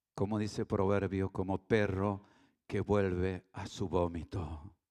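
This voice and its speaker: Against a quiet background, a man speaks very slowly in a very deep, low pitch with monotone, flat intonation. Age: 70s. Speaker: pastor. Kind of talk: sermon.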